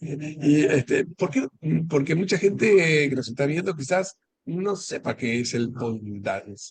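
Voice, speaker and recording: A man with a fairly high voice talks rather slowly, his intonation lively and his tone somewhat breathy. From Argentina. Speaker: interviewer, library host.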